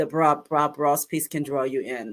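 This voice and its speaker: Very deep and low, a woman's voice moves at a fairly slow pace in a very clean recording with a silent background. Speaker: aspiring voiceover artist. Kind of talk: casual interview chat.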